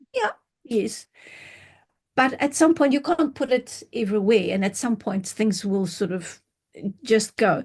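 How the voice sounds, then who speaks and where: Over a quiet background, a woman with a somewhat breathy, fairly high voice uses lively intonation and takes long, frequent pauses. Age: 60s. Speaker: skincare company founder. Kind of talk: interview. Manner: halting.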